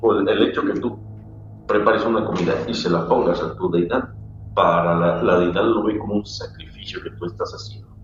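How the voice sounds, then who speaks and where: A man talks at a moderate pace. Audible room echo and noticeable background noise come through. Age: 60s. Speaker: spiritual practitioner and teacher. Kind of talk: casual chat.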